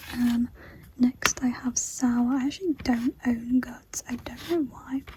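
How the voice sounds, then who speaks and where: A soft-spoken woman talks at a high pitch. Noticeable background noise sits behind her. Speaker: ASMR creator. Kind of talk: soft-spoken ASMR show and tell.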